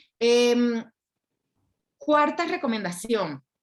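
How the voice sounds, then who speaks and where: A high-pitched woman with a Colombian accent, very slow pace and lively intonation. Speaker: intellectual property lawyer. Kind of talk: lecture. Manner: clear.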